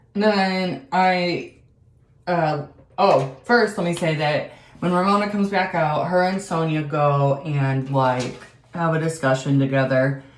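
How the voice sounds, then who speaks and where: A fairly slow pace, ordinary pitch variation and audible room echo. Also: woman, fairly low pitch for a woman. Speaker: beauty and reality TV vlogger. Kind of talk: casual chat.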